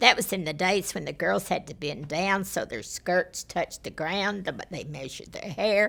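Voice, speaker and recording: A Texan accent at a moderate pace, with big swings in loudness and ordinary pitch variation. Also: woman, medium pitch for a woman. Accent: Texan Southern US. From Texas, Fort Worth area. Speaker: former school board member. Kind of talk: oral history interview.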